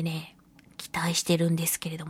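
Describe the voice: A woman's voice with a slightly husky edge and a slightly mellow tone comes through dry and close, with no echo.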